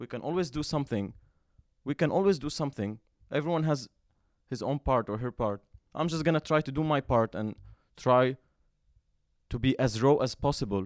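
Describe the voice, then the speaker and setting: In a non-native accent, a man speaks at a fairly quick pace and medium pitch with ordinary pitch variation and long, frequent pauses, in a very clean, dry, close recording with no echo and a silent background. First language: not English. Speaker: podcast host. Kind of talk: solo monologue. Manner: halting, with frequent self-corrections.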